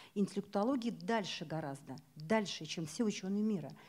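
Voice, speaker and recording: Somewhat breathy and dark, mellow in tone, a woman's medium-pitched voice moves at a fairly quick pace. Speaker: event presenter; presenter. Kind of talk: event moderation. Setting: bookstore stage with audience. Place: hall. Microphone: handheld.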